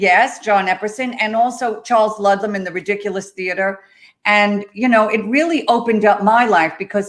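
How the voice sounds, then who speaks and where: Using an ordinary speaking voice, a woman with an American accent talks at a medium pitch and moderate pace with ordinary pitch variation. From US Northeast, Long Island, New York. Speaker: actress and web show co-host. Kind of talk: casual chat.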